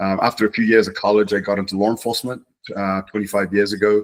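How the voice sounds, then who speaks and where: Talking very fast with a New Zealand accent, a man with a fairly low pitch sounds dry and close, with no echo. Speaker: martial arts instructor, retired police officer. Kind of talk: interview. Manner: halting, many fillers.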